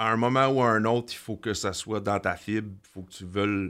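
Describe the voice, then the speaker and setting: A man with a Quebec accent talks at a moderate pace with ordinary pitch variation, in a very clean recording with a silent background. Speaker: construction business owner. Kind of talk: interview. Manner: hesitant, many fillers and repetitions.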